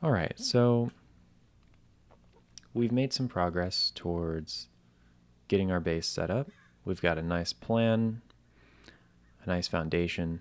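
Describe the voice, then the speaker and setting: A soft-spoken man talks in a very deep, low pitch and a calm tone, very slowly, with long, frequent pauses. His pitch variation is ordinary, and the recording is very clean with a silent background. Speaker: gaming commentator. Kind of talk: relaxing gameplay commentary. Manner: soft-spoken, calm.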